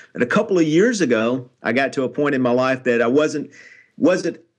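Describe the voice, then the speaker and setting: A man with a Tennessee accent talks at a fairly quick pace in a medium pitch, with a quiet background. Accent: Tennessee Southern American. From Nashville, Tennessee (US South). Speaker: author and motivational speaker. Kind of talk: interview.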